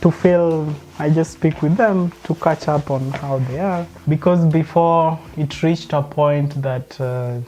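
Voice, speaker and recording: This man talks at a fairly slow pace in a Kenyan accent, with fairly even intonation and a fairly high pitch. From Kenya, Luo community. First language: Luo. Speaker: interviewee. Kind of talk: casual interview while cooking.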